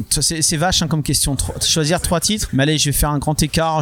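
A man talks in a fairly even, level intonation while noticeable noise sits behind him. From France. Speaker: comics artist and publisher. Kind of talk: interview. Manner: hesitant, many fillers.

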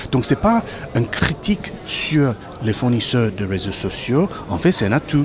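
With a South African accent, a man speaks at a fairly slow pace in a medium-pitched voice with very wide pitch swings over noticeable background noise. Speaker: startup CEO. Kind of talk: casual interview. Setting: trade show studio. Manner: halting.

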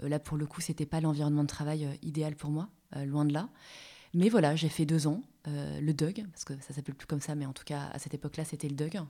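On a very clean recording with a silent background, a woman with a very deep, low pitch and a dark, mellow tone speaks at a fairly quick pace, her intonation fairly even but her loudness swinging widely. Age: 30s. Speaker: career change coach. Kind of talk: casual interview.

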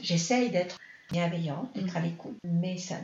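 Audible room echo surrounds the voice. It moves at a moderate pace with ordinary pitch variation. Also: woman. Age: 60s. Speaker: mother of the host. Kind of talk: personal testimony in interview.

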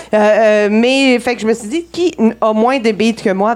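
Through noticeable background noise, a woman with a fairly high pitch speaks at a very slow pace with ordinary pitch variation. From Saguenay, Quebec. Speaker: comedy segment performer. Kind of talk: live comedic chronicle.

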